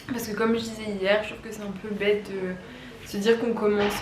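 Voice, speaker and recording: A woman talks at a moderate pace and medium pitch. Noticeable background noise and audible room echo fill the recording. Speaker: wellness vlogger. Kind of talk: vlog monologue. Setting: at home. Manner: casual with many hesitations.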